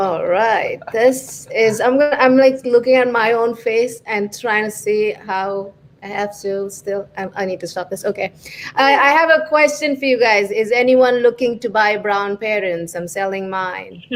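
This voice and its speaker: Noticeable background noise runs through the clip. A woman speaks at a fairly slow pace. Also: fairly high pitch for a woman, ordinary pitch variation. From India. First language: not English (Indian language). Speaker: stand-up comedian. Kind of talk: stand-up. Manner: halting.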